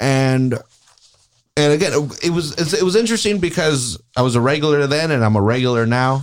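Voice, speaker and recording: Animated in tone, a man with an American accent talks at a fairly quick pace and fairly high pitch, with lively intonation and very even loudness. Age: 30s. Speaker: podcast host. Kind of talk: casual chat. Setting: studio.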